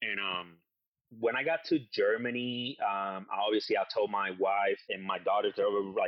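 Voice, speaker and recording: With a Spanish accent, a man is talking. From Puerto Rico. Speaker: war veteran. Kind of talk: interview. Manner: halting.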